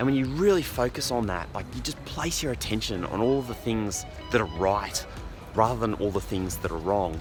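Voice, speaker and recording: Music plays behind a man whose fairly low voice has lively intonation. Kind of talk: casual vlog talk to camera on a morning walk. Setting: outdoors.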